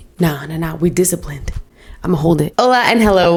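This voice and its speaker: A woman talks at a fairly quick pace with an animated tone. Her voice is fairly low in pitch, with ordinary pitch variation. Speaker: lifestyle and faith vlogger. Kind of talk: casual vlog talk. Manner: fast.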